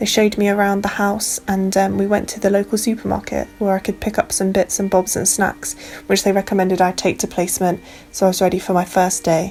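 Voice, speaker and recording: Over noticeable background noise, a woman talks at a very fast pace, medium in pitch and with fairly even intonation. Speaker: student midwife vlogger. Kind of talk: travel vlog. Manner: chatty.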